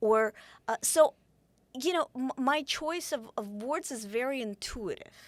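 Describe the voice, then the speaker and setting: Speaking fairly slowly in a Russian accent, a woman has a high pitch and lively intonation, recorded very cleanly with a silent background and a dry, close sound with no echo. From Ukraine. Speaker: author. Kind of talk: interview conversation. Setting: studio. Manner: halting, many restarts.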